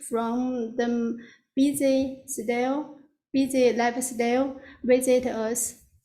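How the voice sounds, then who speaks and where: A woman with a non-native accent speaks at a very slow pace in a high pitch. Her tone is dark and mellow, her intonation monotone and flat. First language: not English. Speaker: applicant presenting a massage spa business. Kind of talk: public hearing presentation. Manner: halting.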